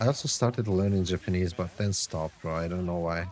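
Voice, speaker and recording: A man with a non-native accent speaks at a moderate pace. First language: not English. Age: 30s. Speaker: game streamer and online English tutor. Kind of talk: casual live-stream chat. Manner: halting.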